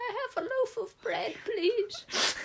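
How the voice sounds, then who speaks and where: A female-sounding voice in a put-on character voice speaks at a fairly slow pace with an extremely high pitch. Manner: polite request in a put-on witch voice.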